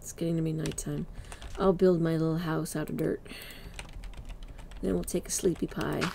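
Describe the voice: With a dark, mellow tone and vocal fry, a woman speaks low in pitch at a moderate pace, the pitch moving little.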